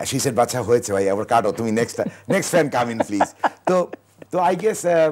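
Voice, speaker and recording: The voice belongs to a man. Very wide swings mark his pitch. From Dhaka, Bangladesh; Bangladesh. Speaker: banker; talk show guest. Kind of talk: talk show interview. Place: studio. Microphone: lapel.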